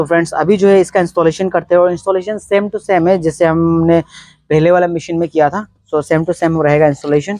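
The recording is dry and close with no echo, as a man with a fairly high pitch talks at a fairly quick pace in a slightly mellow tone with little pitch movement.

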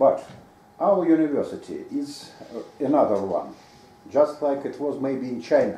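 A fairly slow pace with long, frequent pauses, over noticeable background noise. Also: man. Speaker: researcher. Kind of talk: question and answer. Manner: halting.

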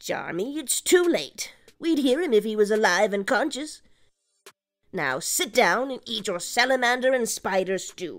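A woman speaks at a moderate pace in a high voice with very wide pitch swings. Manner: stern, scolding, dry.

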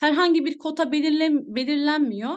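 The background stays quiet. Against it, a woman talks at a moderate pace. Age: 20s. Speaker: network marketing distributor, former teacher. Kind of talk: sales presentation. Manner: halting, many fillers. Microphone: phone mic.

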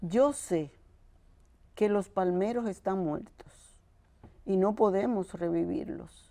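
Over a quiet background, a woman with a dark, mellow tone speaks at a very slow pace, with ordinary pitch variation and long, frequent pauses. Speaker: sister of a fallen militant; interview guest. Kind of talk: interview. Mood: emotional, passionate recollection. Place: studio. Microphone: lapel.

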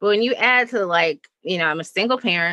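A woman talks at a very fast pace with lively intonation and an American accent. Her tone is bright and sharp, and the sound is dry and close with no echo. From Chicago, Midwestern suburbs. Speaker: writer and social critic. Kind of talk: casual interview conversation.

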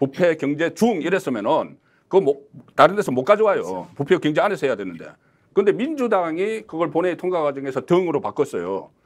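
A high-pitched man with lively intonation at a fairly quick pace. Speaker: political commentator. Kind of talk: political panel discussion. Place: studio. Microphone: lapel.

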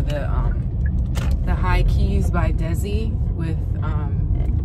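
Loud background noise accompanies a woman's voice. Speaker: vlogger. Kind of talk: casual vlog chat. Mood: relaxed, casual. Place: car. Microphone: phone near.

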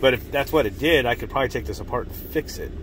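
A man's very fast speech, dry with no echo, over noticeable background noise. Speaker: drone hobbyist vlogger. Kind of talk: casual vlog chat. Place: car. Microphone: phone near.

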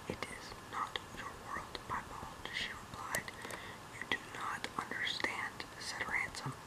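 Whispering at a very slow pace. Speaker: reader. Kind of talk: audiobook reading of a novel. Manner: whispered. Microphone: phone near.

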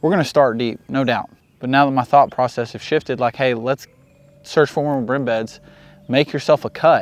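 A man at a moderate pace, intonation fairly even. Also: medium pitch for a man.

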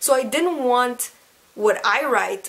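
A woman talks in an animated tone. Her pitch variation is ordinary and her pace fairly slow. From Quebec. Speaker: YouTuber. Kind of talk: casual tutorial vlog. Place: home room.

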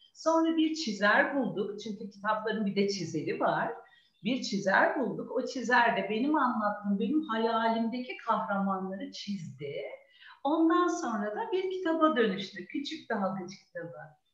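The voice moves at a fairly slow pace with very wide pitch swings. There is audible room echo over a quiet background. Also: woman. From Istanbul, Turkey; Turkey. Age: 40s. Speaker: children's book author and preschool teacher; preschool teacher. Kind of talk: talk with young children online. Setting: video call. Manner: animated. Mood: warm storytelling tone. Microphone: video call.

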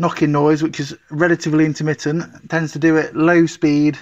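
Against a quiet background, a man talks with monotone, flat intonation. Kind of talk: casual vlog chat. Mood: mildly disappointed, puzzled. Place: garage. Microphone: phone near.

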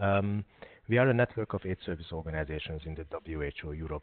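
Speaking at a fairly quick pace, a man with a very deep, low pitch is heard in a dry sound with no echo. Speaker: webinar host. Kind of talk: webinar introduction. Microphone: video call.

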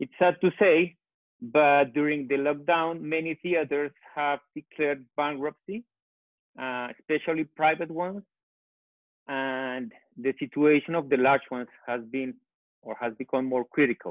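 In a Colombian accent, a man with a fairly high pitch speaks at a fairly slow pace with long, frequent pauses and ordinary pitch variation, the sound dry with no echo over a quiet background. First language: Spanish. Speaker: architect; panelist. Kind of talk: panel discussion. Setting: phone call. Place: home room. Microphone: earbuds.

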